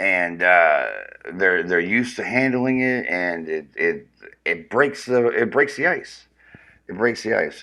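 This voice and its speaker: A man's medium-pitched voice, animated and bright, sharp in tone, with lively intonation at a fairly slow pace. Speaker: live streamer. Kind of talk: casual live stream chat.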